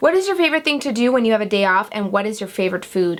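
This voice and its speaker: Lively intonation from a woman at medium pitch. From US, raised from toddler after Iran and Greece. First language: Armenian. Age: 30s. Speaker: beauty blogger. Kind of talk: casual chat. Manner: casual with many fillers.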